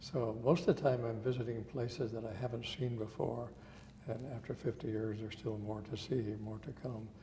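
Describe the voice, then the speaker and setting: A man with an American accent speaks at a moderate pace in a medium pitch, his tone dark, mellow and somewhat breathy. His intonation is fairly even, and audible room echo surrounds him. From Montana. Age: 70s. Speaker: photographer, retired physician. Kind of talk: interview. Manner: hesitant, many fillers.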